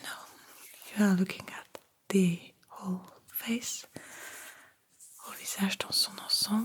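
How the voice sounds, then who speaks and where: Whispering, a soft-spoken woman talks at a fairly slow pace. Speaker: ASMR creator. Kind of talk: ASMR personal attention role-play, face measuring exam. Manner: soft-spoken, whispered.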